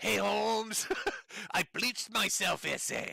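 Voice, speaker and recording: A gruff, raspy put-on character voice that moves at a very slow pace. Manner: tough, exaggerated.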